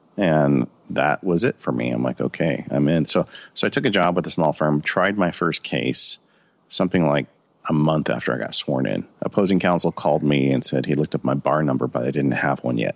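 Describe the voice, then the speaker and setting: In a dry, close recording with no echo, a man with a very deep, low pitch and vocal fry talks at a fairly quick pace, his loudness very even and his pitch variation ordinary. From US West Coast, Ontario California. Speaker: lawyer and tech podcaster. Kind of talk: interview.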